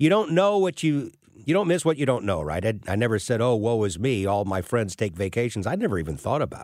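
Very fast delivery with very wide pitch swings, on a very clean recording against a silent background. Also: man, medium pitch for a man. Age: 60s. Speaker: fill-in radio host and financial planner. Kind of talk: talk radio monologue.

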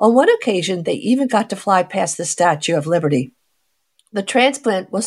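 Lively intonation marks a woman's voice at a moderate pace. It sounds somewhat breathy. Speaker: radio show host and physician. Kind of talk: medical talk radio interview. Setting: studio. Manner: talkative, long-winded storyteller.

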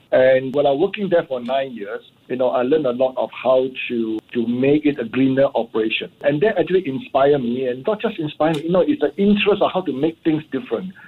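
At a very fast pace, a man with a fairly high pitch talks with lively intonation. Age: 60s. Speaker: entrepreneur. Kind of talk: radio interview.

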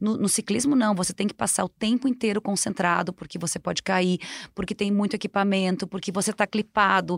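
Recorded very cleanly with a silent background and a dry, close sound with no echo, a woman with an unremarkable speaking voice talks at a fairly quick pace, her medium pitch kept in fairly even intonation. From southern Brazil, Rio Grande do Sul. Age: 50s. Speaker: marathon runner and sports marketing specialist. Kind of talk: casual interview.

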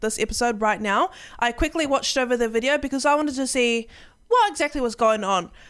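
On a very clean recording with a silent background, a woman speaks with a New Zealand accent. Her voice is high, with ordinary pitch variation. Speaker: streamer and podcast co-host. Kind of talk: casual chat.

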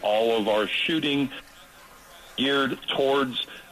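Speaking at a fairly slow pace with fairly even intonation, a man comes through over noticeable background noise. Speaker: shooting instructor. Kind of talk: casual radio chat. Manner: joking.

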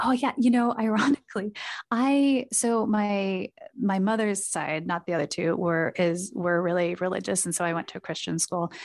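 In a General American accent, a woman talks at a moderate pace and medium pitch with ordinary pitch variation, a plain, everyday voice, over a quiet background. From US Pacific Northwest (Portland, Oregon). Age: 40s. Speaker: startup CEO and co-founder. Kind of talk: casual interview.

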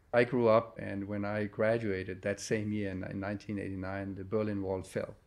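Moderate pace and fairly even intonation from a man. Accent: Danish. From Denmark. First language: Danish. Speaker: company chairman. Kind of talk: interview. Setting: company headquarters office.

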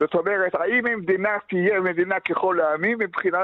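The speaker is a man with a high voice. He goes at a fairly slow pace. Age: 90s. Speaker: retiree running a memorial book association. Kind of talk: radio interview.

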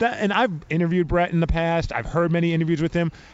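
Pitched high for a man, an animated speaker with an American accent talks at a very fast pace. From New York (Brooklyn). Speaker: podcast host. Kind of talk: casual interview. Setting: radio row at event.

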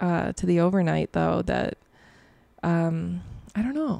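With an American accent, a woman speaks at a fairly slow pace in a very clean recording with a silent background and a dry, close sound with no echo. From Chicago area, US Midwest. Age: 20s. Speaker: overnight radio DJ. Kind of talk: casual interview chat. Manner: hesitant, many fillers.

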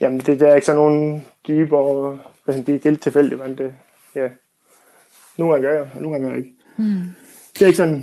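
A man with a fairly high pitch and a dark, mellow tone speaks at a fairly quick pace with fairly even intonation. His loudness swings widely, and he leaves long, frequent pauses. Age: 40s. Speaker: former teacher, house renovator, listener panel member. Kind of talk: radio panel discussion. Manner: halting, many fillers.

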